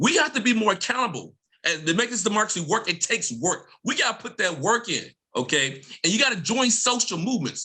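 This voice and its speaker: An American-accented man with a high, raised and projected voice, very fast and animated, full of very wide pitch swings. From Mississippi, US South. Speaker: professor. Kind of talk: panel discussion.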